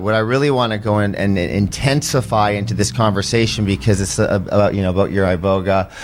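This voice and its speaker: Talking at a fairly quick pace, a man with an ordinary speaking voice uses a fairly low pitch and ordinary pitch variation. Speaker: former pro hockey player, mental health advocate. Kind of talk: podcast interview, personal testimony. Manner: emotional, rambling with fillers.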